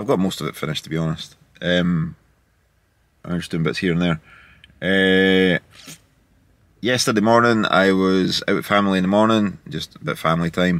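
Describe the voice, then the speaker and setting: A man with a very deep, low pitch speaks at a moderate pace with ordinary pitch variation and long, frequent pauses, in a dry sound with no echo against a quiet background. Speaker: vlogger. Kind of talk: casual vlog chat. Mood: upbeat, relaxed. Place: car. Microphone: phone near.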